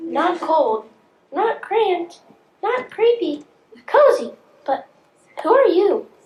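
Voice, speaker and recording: A put-on character voice, squeaky and extremely high in pitch, at a very slow pace with long, frequent pauses. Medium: stage play.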